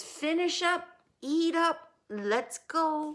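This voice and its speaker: The speaker uses a put-on character voice at an extremely high pitch. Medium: read story. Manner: booming, commanding.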